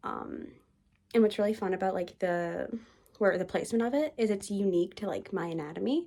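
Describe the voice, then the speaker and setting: With a dark, mellow tone at medium pitch, a woman talks at a fairly quick pace and varies her pitch in an ordinary way. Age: young. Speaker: lifestyle vlogger. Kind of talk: casual vlog to camera. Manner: casual, filler-heavy.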